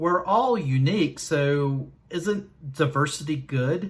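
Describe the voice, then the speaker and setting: A man speaks in a Southern US accent with fairly high pitch. His voice is somewhat breathy, with ordinary pitch variation. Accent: Southern US drawl. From Southern Virginia. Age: 40s. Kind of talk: casual talk to camera. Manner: slow.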